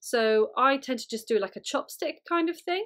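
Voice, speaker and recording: A woman speaks with a high pitch. The background is quiet. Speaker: puppeteer teacher. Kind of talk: tutorial.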